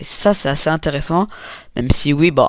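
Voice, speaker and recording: This man's voice sits fairly high for a man, moving at a moderate pace. His intonation stays fairly even, and the recording is very clean with a silent background. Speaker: animator and YouTuber reacting to reactions. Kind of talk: reaction video commentary. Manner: halting, many fillers.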